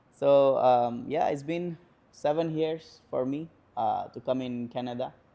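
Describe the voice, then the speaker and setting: A man with an Indian accent speaks at a fairly slow pace and a fairly high pitch. His tone is dark and mellow, with fairly even intonation. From northern India, near Nepal. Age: 20s. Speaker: home care worker and student. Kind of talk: interview. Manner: hesitant, many fillers.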